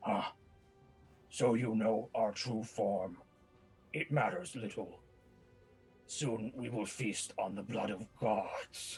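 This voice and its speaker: With faint music in the background, a man uses a put-on character voice at medium pitch, speaking at a very slow pace with long, frequent pauses. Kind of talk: grating and deep. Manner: menacing.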